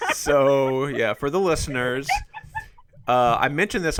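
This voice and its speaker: With an unremarkable speaking voice, a man talks at a moderate pace, his pitch medium and his intonation lively. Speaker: podcast host. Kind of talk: casual chat.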